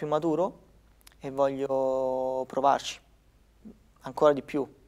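Very slowly, a man talks with little sound around him. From Italy, Lazio (province of Rome). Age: 20s. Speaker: professional badminton player; guest. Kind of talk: interview. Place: studio. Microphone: lapel.

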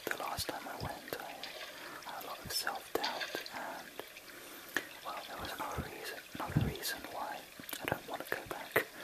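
A whispering man at a moderate pace, with long, frequent pauses and big swings in loudness. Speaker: whisper video maker. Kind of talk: whispered ASMR-style casual talk to camera. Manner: whispered, soft, rambling, casual. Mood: shy, reflective. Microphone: studio mic.

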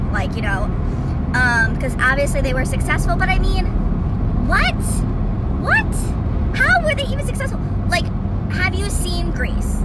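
Over loud background noise, a woman talks at a moderate pace in a dry sound with no echo. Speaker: vlogger. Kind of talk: casual rant to camera. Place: car. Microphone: phone near.

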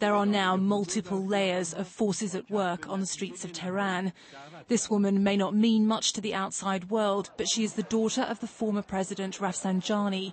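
A woman speaks at a moderate pace, somewhat breathy. Her intonation is monotone and flat. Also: medium pitch for a woman. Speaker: television news correspondent. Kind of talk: scripted broadcast news report voiced over footage. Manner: measured, dramatic newsreader cadence with punchy emphasis; formal, polished delivery of long flowing sentences.

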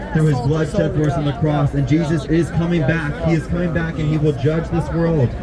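Loud background noise fills the clip. The speech moves at a fairly quick pace. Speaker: street preacher. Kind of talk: open-air sermon, evangelistic preaching. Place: street.

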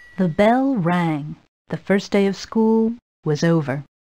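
The background is quiet. The speaker uses a natural reading voice.

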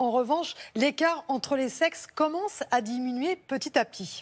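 A high-pitched woman at a moderate pace, with lively intonation. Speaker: health columnist. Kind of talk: studio chat. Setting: studio. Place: studio. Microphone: lapel.

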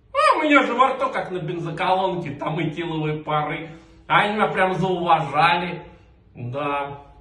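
Audible room echo surrounds a man with a high pitch. He speaks at a moderate pace. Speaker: comic performer. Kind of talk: comedy sketch, one side of a phone call. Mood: weary, pleading, joking. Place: home room.

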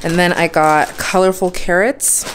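Over light background noise, a woman with a fairly low voice speaks at a moderate pace. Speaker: home vlogger. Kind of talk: casual vlog chat. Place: kitchen.

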